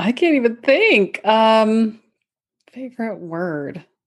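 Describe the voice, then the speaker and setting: The pace is very slow. The intonation is lively. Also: woman. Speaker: speech-language pathologist. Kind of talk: casual chat. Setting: video call.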